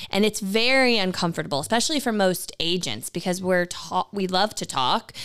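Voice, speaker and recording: At a moderate pace, a woman talks in an ordinary speaking voice at medium pitch. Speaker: real estate agent and podcast co-host. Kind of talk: casual chat.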